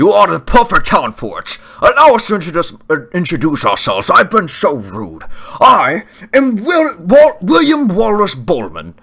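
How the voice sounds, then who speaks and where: Putting on a character voice, a man projects loudly at a high pitch and a moderate pace. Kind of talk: comic overacting. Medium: actual play. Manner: hearty, old-fashioned courtly speech.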